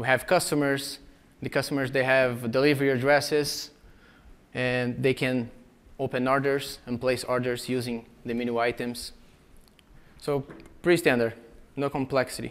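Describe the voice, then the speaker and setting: A medium-pitched man with a Brazilian Portuguese accent speaks at a moderate pace in a monotone, flat delivery, with long, frequent pauses. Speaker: software engineer and conference speaker. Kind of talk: conference talk. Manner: frequent filler hesitations.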